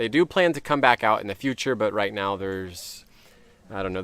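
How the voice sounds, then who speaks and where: This man speaks with a Californian accent at a fairly low pitch. His pace is fairly quick. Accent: Californian American English. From US West Coast, Orange County, California. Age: 30s. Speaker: YouTuber. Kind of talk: casual Q&A to camera. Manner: casual, chatty with fillers.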